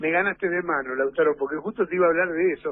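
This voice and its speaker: A man's voice, high in pitch. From Argentina. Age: 60s. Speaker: sports journalist. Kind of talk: radio interview. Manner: animated.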